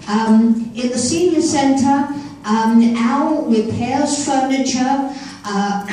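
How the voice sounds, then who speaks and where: A woman speaks very slowly at a fairly high pitch with ordinary pitch variation, her voice carrying audible room echo over noticeable background noise. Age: 70s. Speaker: senior center volunteer presenting an award. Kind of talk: award presentation speech. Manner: hesitant, many fillers.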